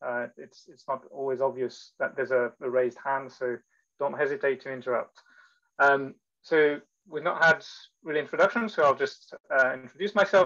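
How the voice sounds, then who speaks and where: Against a quiet background, a man with a fairly high pitch and a bright, sharp tone shows big swings in loudness and ordinary pitch variation. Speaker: electron microscopy researcher and instructor; instructor. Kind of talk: lecture. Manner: fast. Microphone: video call.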